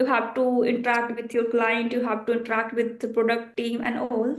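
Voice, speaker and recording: Audible room echo hangs around the speaker. She is a woman with a high pitch. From India, Bihar. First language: Bhojpuri. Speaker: software engineer. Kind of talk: interview. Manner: halting.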